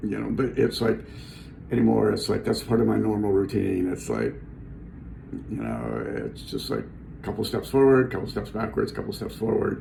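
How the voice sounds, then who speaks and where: A man with a very deep, low voice speaks at a moderate pace, his pitch swinging very widely between long, frequent pauses, with noticeable background noise and audible room echo. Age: 60s. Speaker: vlogger sharing cancer journey. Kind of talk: personal video diary. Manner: halting, many fillers.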